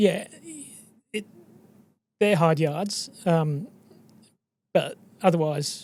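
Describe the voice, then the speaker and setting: Using an Australian accent, a high-pitched man speaks at a fairly slow pace with lively intonation. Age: 60s. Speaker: exploration geologist. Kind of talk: podcast interview.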